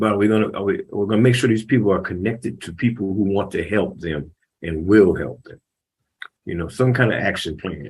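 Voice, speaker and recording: At a fairly quick pace, a man with a fairly low, somewhat breathy voice speaks with ordinary pitch variation and big swings in loudness. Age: 70s. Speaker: community panelist. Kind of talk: panel discussion.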